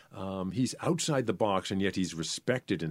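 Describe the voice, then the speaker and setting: Very deep and low, a man's voice carries an American accent. The recording is very clean, with a silent background. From New Hampshire, US. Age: 60s. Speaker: dancer and vocal performer. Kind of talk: interview.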